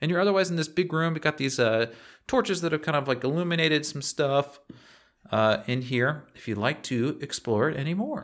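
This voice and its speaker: At a fairly quick pace, an ordinary speaking voice carries lively intonation on a very clean recording with a silent background. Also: man, fairly high pitch for a man. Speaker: tabletop game master and podcast host. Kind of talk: tabletop roleplaying game session.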